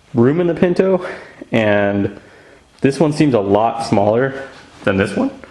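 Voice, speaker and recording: Noticeable background noise is present. The delivery is moderate in pace. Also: man. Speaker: car hobbyist vlogger. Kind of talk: casual vlog. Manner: animated. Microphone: sound may be poor from whispering.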